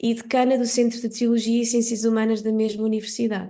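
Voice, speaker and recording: Speaking in a European Portuguese accent, a woman with a fairly high pitch and a dark, mellow tone keeps a monotone, flat intonation. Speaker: conference moderator. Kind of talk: formal introduction of speaker. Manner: hesitant, many fillers.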